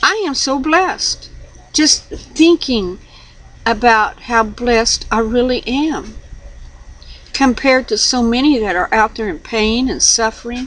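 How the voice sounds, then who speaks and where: High-pitched woman's voice with lively intonation and a fairly slow pace. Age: 60s. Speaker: religious video blogger. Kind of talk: casual monologue. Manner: halting.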